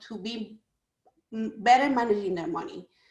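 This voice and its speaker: A woman with a Spanish accent at a fairly quick pace, in a very clean recording with a silent background. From Ecuador. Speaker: small business owner. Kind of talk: panel talk.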